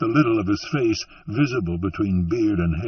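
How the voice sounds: Someone reads in a natural voice.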